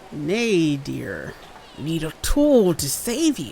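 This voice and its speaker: A woman speaks in a put-on character voice with a fairly low pitch. Her pace is very slow, and there is clear background noise. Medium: read story. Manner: cryptic, otherworldly.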